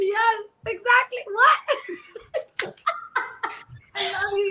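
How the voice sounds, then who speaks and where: With an American accent, a woman projects her raised voice at an extremely high pitch with lively intonation. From New York, the Bronx. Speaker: singer. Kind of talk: casual chat. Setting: live stream.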